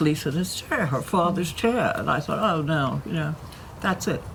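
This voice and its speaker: Noticeable background noise and audible room echo around a woman talking at a moderate pace. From United States. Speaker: former model and fashion designer. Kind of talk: casual chat.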